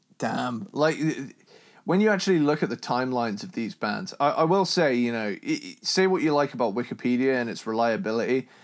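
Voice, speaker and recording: On a very clean recording with a silent background, a plain, everyday voice talks fairly quickly with lively intonation. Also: man, fairly high pitch for a man. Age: 20s. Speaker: metal podcast co-host. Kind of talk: casual chat.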